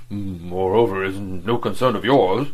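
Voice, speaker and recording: A man puts on a husky character voice, mumbling at a fairly low pitch. His pace is moderate. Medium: read story. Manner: sulky, mumbling.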